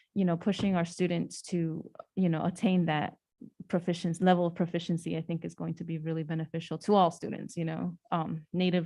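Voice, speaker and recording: A woman with a Spanish accent, fairly low in pitch, dark and mellow in tone, with fairly even intonation over a quiet background. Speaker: school board member. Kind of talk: board meeting discussion. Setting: public board meeting.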